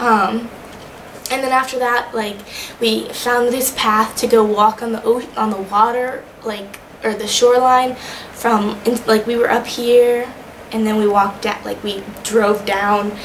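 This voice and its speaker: With an American accent, a woman speaks at a fairly high pitch amid audible room echo and noticeable background noise. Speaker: vlogger, study-abroad student. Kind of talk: casual video diary. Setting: recording to camera. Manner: fast; animated.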